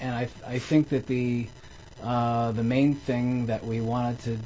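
A moderate pace over noticeable background noise. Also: man. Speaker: physician. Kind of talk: storytelling interview. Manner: halting.

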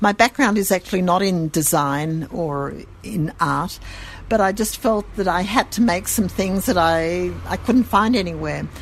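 The speaker talks at a fairly slow pace with an Australian accent and ordinary pitch variation. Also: woman, medium pitch for a woman. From Sydney, Australia. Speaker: gift shop owner. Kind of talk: interview.

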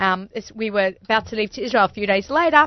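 With an Australian accent, a woman talks fast at a medium pitch with lively intonation, in a dry, close sound with no echo.

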